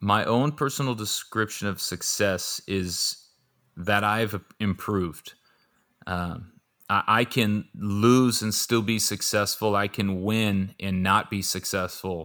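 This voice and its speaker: Very slow, fairly even speech from a man with an American accent, fairly low in pitch, bright and sharp in tone. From Southern California. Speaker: former pro football player and financial planner. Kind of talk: interview.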